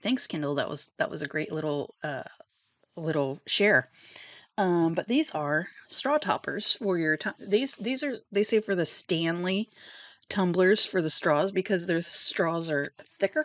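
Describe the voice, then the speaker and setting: A soft-spoken woman talks at a fairly slow pace. The sound is dry and close with no echo, over a quiet background. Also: medium pitch for a woman, lively intonation. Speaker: book video host. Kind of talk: casual chat. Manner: hesitant, many fillers.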